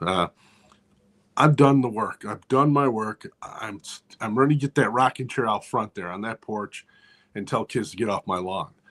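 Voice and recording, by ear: A man's fairly low pitch and fairly bright tone, with ordinary pitch variation. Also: moderate pace.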